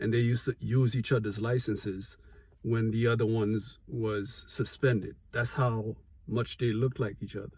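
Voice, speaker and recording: A man speaks at a medium pitch and a moderate pace. His voice is somewhat breathy, with monotone, flat intonation. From Haiti. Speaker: small business owner, vlogger. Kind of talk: motivational vlog talk. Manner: conversational, with fillers and self-corrections.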